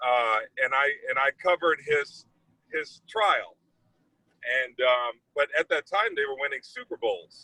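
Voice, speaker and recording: A man talks at a fairly slow pace with an American accent. Long, frequent pauses break up his speech. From US Midwest, East St. Louis, Illinois. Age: 40s. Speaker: TV news anchor. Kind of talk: casual talk to students about his career. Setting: video call.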